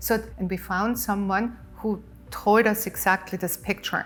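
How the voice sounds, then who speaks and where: With an Austrian accent, a woman speaks at a fairly slow pace in a monotone, flat intonation. Her pitch is medium, and music plays in the background. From Austria, Innsbruck. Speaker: water company founder. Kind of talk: TV interview. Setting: TV studio set.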